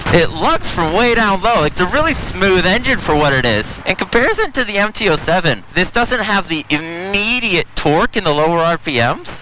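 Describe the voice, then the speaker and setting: Raising and projecting his voice over noticeable background noise, a man with an American accent speaks at a high pitch and a fairly quick pace with lively intonation. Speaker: motorcycle YouTuber. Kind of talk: casual ride-along vlog.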